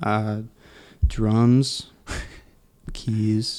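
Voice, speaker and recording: A mumbling man with a fairly low voice and a Canadian accent. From Ontario, Canada (Durham region). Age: 20s. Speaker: barista. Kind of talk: casual chat.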